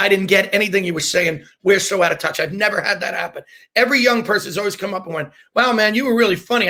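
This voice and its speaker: In a raised, projected voice, a man speaks with a bright, sharp, animated tone and ordinary pitch variation. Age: 50s. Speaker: comedian. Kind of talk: casual chat.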